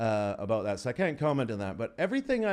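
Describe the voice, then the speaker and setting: Very wide pitch swings over a quiet background. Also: man. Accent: Albertan. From Canada, Alberta. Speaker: comedian. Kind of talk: podcast interview, casual chat. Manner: animated.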